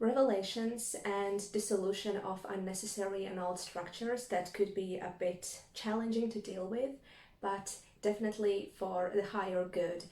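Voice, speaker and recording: Someone with a Latvian accent speaks at a fairly slow pace with fairly even intonation. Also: woman. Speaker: tarot reader. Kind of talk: spiritual reading monologue.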